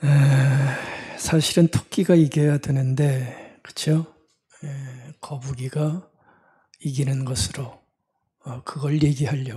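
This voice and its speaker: A very slow, fairly even-toned man's voice, fairly high in pitch. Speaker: pastor. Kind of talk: sermon. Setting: church service, livestream. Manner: conversational, many fillers.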